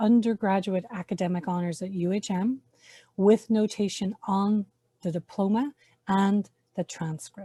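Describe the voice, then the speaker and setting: With an Irish accent, a woman of medium pitch speaks at a fairly slow pace in a somewhat breathy, dark and mellow tone, recorded with a dry, close sound and no echo. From Ireland. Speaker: university honors program faculty member. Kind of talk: webinar presentation. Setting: online webinar.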